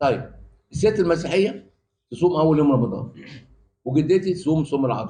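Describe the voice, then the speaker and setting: A man with a dark, mellow tone and fairly high pitch speaks at a moderate pace with very even loudness, ordinary pitch variation, and long, frequent pauses. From Egypt, Cairo. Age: 80s+. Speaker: professor. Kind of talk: panel talk. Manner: halting.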